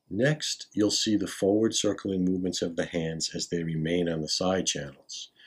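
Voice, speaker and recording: Very deep and low, a man's voice moves at a moderate pace with ordinary pitch variation. He hardly pauses, and the background is quiet. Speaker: qigong teacher. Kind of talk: tutorial. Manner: formal. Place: home room. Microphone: camera far.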